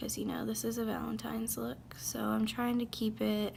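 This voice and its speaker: A woman speaking over noticeable background noise. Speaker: beauty youtuber. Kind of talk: makeup tutorial. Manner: casual, chatty; stuttering.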